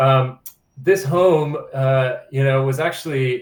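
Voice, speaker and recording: His voice is somewhat breathy and sits at a medium pitch. The man's pitch variation is ordinary. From Ireland, Dublin. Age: 40s. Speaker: museum director and underwater archaeologist. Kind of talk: interview. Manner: hesitant, many fillers.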